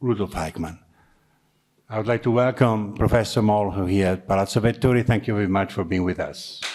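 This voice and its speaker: Speaking at a fairly quick pace, a man with an Italian accent has a fairly low pitch. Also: ordinary pitch variation. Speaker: university program director. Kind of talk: formal introduction.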